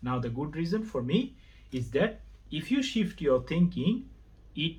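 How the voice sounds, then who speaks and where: A man talks at a moderate pace. He has a non-native accent. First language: not English. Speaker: religion vlogger. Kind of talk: monologue to camera, video response. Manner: halting.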